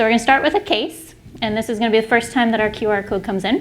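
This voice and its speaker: A woman with a fairly high pitch speaks over noticeable background noise. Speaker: primary care physician giving a lecture. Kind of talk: medical lecture to clinicians. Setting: symposium stage with audience. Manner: fast.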